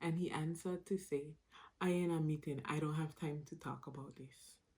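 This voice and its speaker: Somewhat breathy, a woman with a very deep, low pitch speaks at a moderate pace in a monotone, flat intonation. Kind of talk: casual storytime talk to camera.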